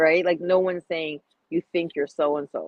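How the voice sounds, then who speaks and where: Here a woman with a Toronto accent speaks at a moderate pace. Her pitch is fairly low, with ordinary variation. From Toronto, Canada. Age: 30s. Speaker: podcast guest, cigar enthusiast. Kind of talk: casual chat. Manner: animated, frequent filler phrases.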